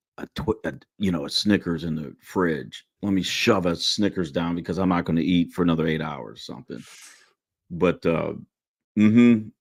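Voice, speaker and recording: In a very clean recording with a silent background, a man speaks at a moderate pace with a very deep, low pitch, ordinary pitch variation and vocal fry. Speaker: retired Marine sergeant major, podcast host. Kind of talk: casual interview chat. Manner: animated.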